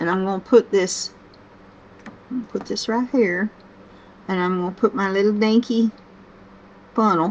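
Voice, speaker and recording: A woman speaks with a Southern US accent at medium pitch. Her intonation is fairly even, with long, frequent pauses. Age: 60s. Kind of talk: casual talk to camera. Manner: slow-paced, gentle.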